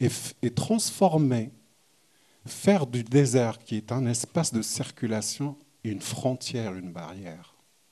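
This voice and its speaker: Speaking very slowly in a Moroccan accent, a man uses lively intonation and a dark, mellow tone. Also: medium pitch for a man. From southern Morocco, oasis region. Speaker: visual artist. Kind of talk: panel conversation. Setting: gallery event with audience. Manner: halting, many restarts.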